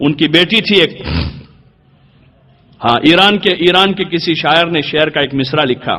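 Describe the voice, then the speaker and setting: A man's high voice with ordinary pitch variation and long, frequent pauses, over noticeable background noise. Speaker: Islamic scholar giving a sermon. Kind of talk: Islamic sermon (bayan) on women's veiling.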